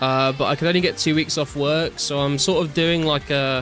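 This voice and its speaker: A man keeps up a fairly quick pace while noticeable background noise plays behind him. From English Midlands, near Birmingham. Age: 20s. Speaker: streamer. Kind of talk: casual chat. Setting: live stream reading chat.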